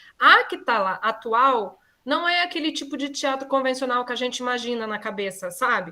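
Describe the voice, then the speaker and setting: A woman speaks in a raised, projected voice at a high pitch. Her tone is bright and sharp. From southern Brazil, Curitiba. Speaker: architect and set designer. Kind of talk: online class talk.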